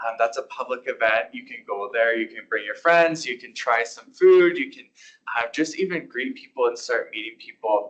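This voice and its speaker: This is a man talking. He has a Canadian accent. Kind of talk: lecture. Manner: fast.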